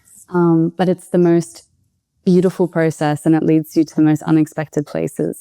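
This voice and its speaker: A woman talks at a moderate pace with an Australian accent. Her tone is dark and mellow, and the sound is dry and close with no echo. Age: 20s. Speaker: podcast guest, expat food writer. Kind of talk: interview conversation. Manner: hesitant, with repetitions.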